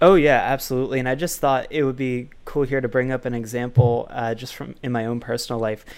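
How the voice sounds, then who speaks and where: A man rattles along at a very fast pace and medium pitch, with fairly even intonation and hardly any pauses. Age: 20s. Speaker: podcast host and author. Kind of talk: interview.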